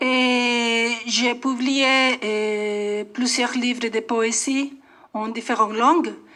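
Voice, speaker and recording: A woman's high-pitched voice with a bright, sharp tone, fairly even intonation and a very slow pace. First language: Spanish (speaking French). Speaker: poet. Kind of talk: radio interview. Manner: halting.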